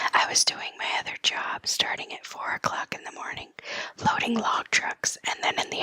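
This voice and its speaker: A woman whispers at a moderate pace in a calm, soothing tone. The sound is dry and close with no echo, though background noise is noticeable. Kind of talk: news reading, whispered ASMR. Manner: whispered, calm, soothing.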